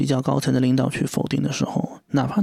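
At a moderate pace, a man is talking. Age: 30s. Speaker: podcast host. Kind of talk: solo monologue. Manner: hesitant, many fillers; rambling, unstructured.

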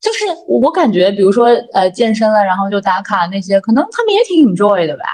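A woman speaks at a fairly quick pace with lively intonation and a somewhat breathy voice. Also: medium pitch for a woman. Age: 30s. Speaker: company vice president, former internet product manager. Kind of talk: casual chat.

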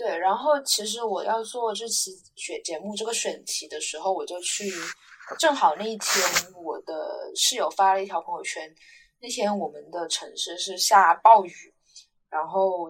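A woman of medium pitch, in an unremarkable speaking voice, talks at a fairly slow pace with lively intonation and big swings in loudness. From Guangdong, China. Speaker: podcast co-host, university student. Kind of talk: casual chat.

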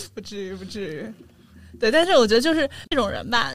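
A woman with a fairly high pitch and vocal fry swings very widely in pitch. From Sichuan, China. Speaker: podcast host. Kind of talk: casual chat.

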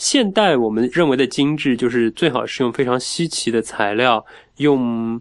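A man talks with lively intonation in a normal speaking voice at a medium pitch against a quiet background. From Wuxi, Jiangnan, China. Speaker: food writer. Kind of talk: casual chat.

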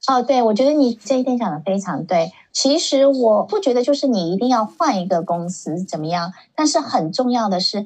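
A woman speaks with a somewhat breathy, dark, mellow tone. Her intonation is lively. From San Francisco Bay Area, US (born in Shanghai). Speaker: tech professional. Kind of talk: casual interview.

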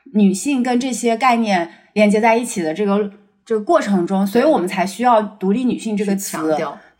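With an unremarkable speaking voice, a woman talks at a fairly quick pace, her pitch fairly high with ordinary pitch variation. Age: 30s. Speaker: research scientist. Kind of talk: casual chat.

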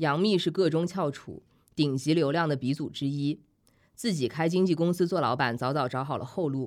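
A woman talks in a very deep, low voice with ordinary pitch variation. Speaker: author and magazine editor. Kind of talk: casual chat. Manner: frank, candid.

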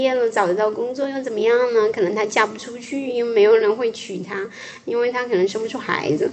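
Noticeable background noise is present. Intonation remains fairly even throughout. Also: woman. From Fujian, China. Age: 40s. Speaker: podcast host. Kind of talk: casual chat.

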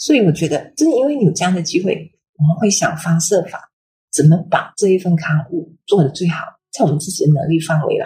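Fairly quick and fairly low-pitched, a woman's dark, mellow, somewhat breathy voice moves with ordinary pitch variation. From Malaysia, Kedah. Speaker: magazine editor and bookstore owner. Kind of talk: casual interview. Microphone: poor audio quality.

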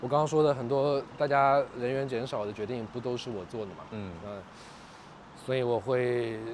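At a moderate pace, a man with a plain, everyday voice talks at a medium pitch. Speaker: pop culture media founder and podcaster. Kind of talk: casual chat. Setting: outdoors.

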